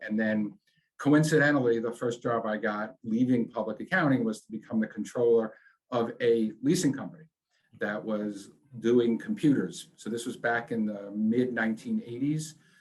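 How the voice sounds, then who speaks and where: Speaking with a New York accent, a man talks at a moderate pace and medium pitch with ordinary pitch variation. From New York, Long Island. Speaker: business executive. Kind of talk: interview.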